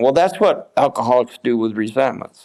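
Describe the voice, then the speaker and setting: At a very fast pace, a dark, mellow voice speaks with an American accent. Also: man. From upstate New York. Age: 80s+. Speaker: war veteran. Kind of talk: interview.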